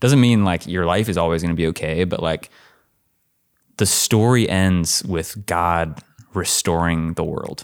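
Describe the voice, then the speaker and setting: Fairly slow pace in a very clean recording with a silent background. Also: man, very deep, low pitch for a man, ordinary pitch variation. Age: 20s. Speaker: young adults pastor. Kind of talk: casual chat.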